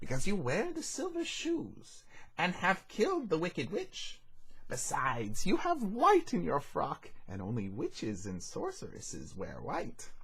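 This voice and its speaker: This man puts on a character voice and keeps a moderate speed. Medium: read story.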